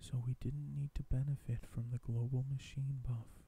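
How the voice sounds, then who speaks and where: A man whispers in a somewhat breathy voice. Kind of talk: ASMR reading of game news article. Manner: whispered.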